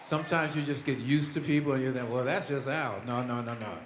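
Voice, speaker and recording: With an American accent, a man talks at a very fast pace and medium pitch with fairly even intonation, over crowd noise in the background and audible room echo. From Indiana. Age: 60s. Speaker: musician. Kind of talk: acceptance speech. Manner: halting.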